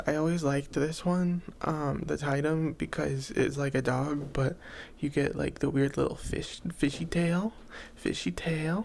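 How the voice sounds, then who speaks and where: The voice is soft-spoken. It moves at a fairly slow pace. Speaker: ASMR creator. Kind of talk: soft-spoken ASMR rambling to camera.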